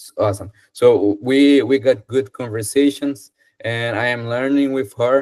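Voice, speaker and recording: Fairly even intonation in a Brazilian Portuguese accent, with big swings in loudness. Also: man, medium pitch for a man, fairly slow pace. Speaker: English student. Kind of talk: casual chat. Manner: halting.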